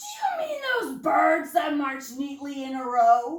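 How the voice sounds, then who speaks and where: Using a put-on character voice, a woman speaks loud and at a fairly slow pace with high pitch, with slight echo. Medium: read story. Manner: loud, hearty.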